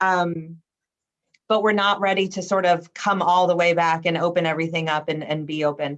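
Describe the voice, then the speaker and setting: A woman speaks at a fairly low pitch. Her intonation stays fairly even. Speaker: museum administrator. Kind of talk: panel presentation on a video call. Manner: fast.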